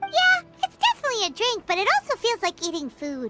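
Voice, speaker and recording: A put-on character voice, squeaky and extremely high in pitch, rattles along at a very fast pace over faint music in the background. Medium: video game.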